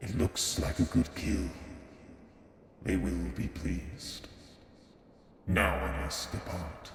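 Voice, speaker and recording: Using a put-on character voice with a very deep, low pitch, a man talks at a fairly slow pace with long, frequent pauses, while clear echo and clear background noise are heard. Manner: low, sharp.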